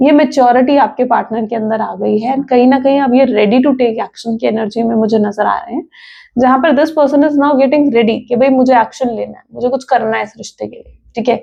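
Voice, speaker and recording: A woman talks fairly quickly at a high pitch, with hardly any pauses. Her intonation stays fairly even while her loudness swings widely. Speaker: tarot reader. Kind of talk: tarot reading monologue. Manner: conversational, Hindi-English code-switching.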